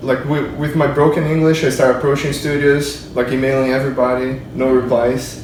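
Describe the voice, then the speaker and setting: Against noticeable background noise, a medium-pitched man with a Portuguese accent talks fairly quickly in a monotone, flat intonation, with hardly any pauses. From Brazil. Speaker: 3D character modeler. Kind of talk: casual interview. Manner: halting.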